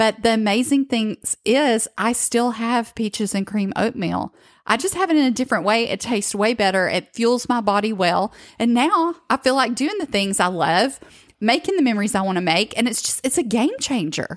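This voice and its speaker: A woman with an American accent speaks in an ordinary speaking voice, her fairly high pitch moving with lively intonation at a moderate pace. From northwestern Georgia, US South. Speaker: podcast host. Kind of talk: casual chat with co-host, plus sales pitch.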